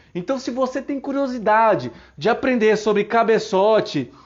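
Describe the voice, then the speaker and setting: Ordinary pitch variation from a man speaking at a fairly slow pace. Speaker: mechanic teaching engines online. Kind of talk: live-stream tutorial. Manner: casual, many fillers.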